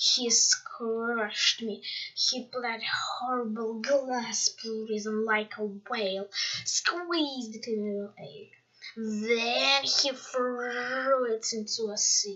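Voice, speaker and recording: A woman puts on a character voice, pitched fairly high and delivered at a very slow pace. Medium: read story. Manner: roaring, bellowing.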